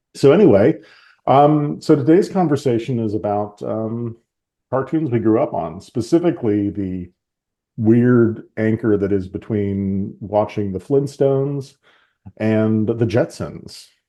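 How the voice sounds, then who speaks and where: At a fairly slow pace, a man talks with lively intonation. His pitch sits in the medium range. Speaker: podcast host. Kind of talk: casual chat.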